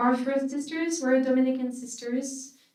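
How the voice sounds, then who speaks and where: A high-pitched woman's voice at a fairly slow pace, with audible room echo. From France, Paris. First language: French. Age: 40s. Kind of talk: conference talk. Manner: hesitant with many fillers.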